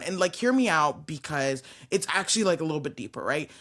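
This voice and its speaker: A woman's animated tone with very wide pitch swings, on a very clean recording with a silent background. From UK, born in Nigeria. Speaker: talk show host. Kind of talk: casual interview chat.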